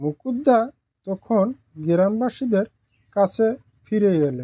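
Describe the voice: A dark, mellow tone moves through big pitch swings at a slow pace, with a dry, close sound and no echo. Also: woman.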